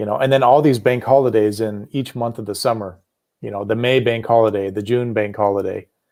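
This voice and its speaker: This man has a plain, everyday voice at a medium pitch, with an American accent. He speaks at a fairly quick pace with fairly even intonation. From United States. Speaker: livestream chat participant. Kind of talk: casual chat.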